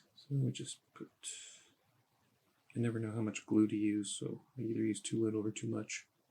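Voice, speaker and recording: Mumbling with a dark, mellow tone, a man of fairly low pitch speaks at a moderate pace with ordinary pitch variation and long, frequent pauses. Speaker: costume maker. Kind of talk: tutorial.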